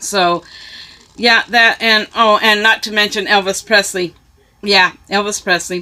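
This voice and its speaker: The speaker has an American accent and a bright, sharp tone, talking at a fairly slow pace with very even loudness and monotone, flat intonation. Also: woman, medium pitch for a woman. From US West (California, Arizona). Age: 60s. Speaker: YouTuber. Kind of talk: casual vlog. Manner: hesitant, many fillers.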